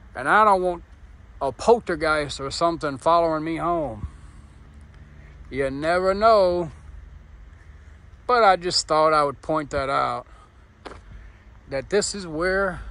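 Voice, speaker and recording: In a dry sound with no echo, a man talks at a fairly slow pace with a bright, sharp tone. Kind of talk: casual vlog chat. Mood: uneasy, joking. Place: street. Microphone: phone near.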